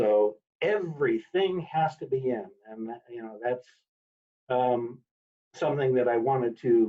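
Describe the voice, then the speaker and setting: A man at a fairly slow pace over a quiet background. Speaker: 4-H software trainer. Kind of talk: training webinar. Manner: loud. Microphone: video call.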